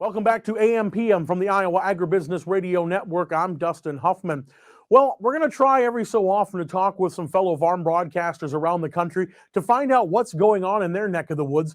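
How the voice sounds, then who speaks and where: In a very clean recording with a silent background, a man with a Minnesotan accent speaks at a fairly quick pace and high pitch, with ordinary pitch variation. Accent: Minnesota. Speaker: farm radio broadcaster. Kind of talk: radio weather and farm news broadcast. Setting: radio studio.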